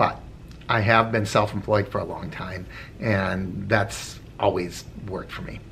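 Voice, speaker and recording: Audible room echo surrounds this man's fairly low voice. His intonation is fairly even. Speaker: rideshare driver and video blogger. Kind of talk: casual vlog commentary. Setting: in a car. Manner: conversational, with filler words.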